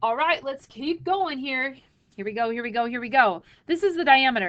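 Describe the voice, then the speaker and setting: Speaking at a fairly quick pace, a woman has an ordinary speaking voice. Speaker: math teacher. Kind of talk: tutorial.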